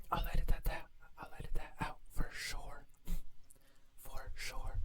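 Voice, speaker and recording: Noticeable background noise sits behind the voice. The speech is whispered at a moderate pace. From Mexico. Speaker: ASMR creator. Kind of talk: casual rambling ASMR mukbang. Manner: whispered ASMR.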